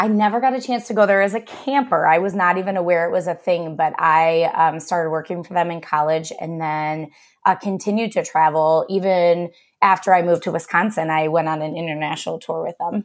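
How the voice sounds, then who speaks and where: A woman talks at a fairly quick pace in an ordinary speaking voice, fairly low in pitch with ordinary pitch variation. The recording is very clean, with a silent background. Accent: American. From US Midwest, Cleveland area, Ohio. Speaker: elementary music teacher. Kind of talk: interview.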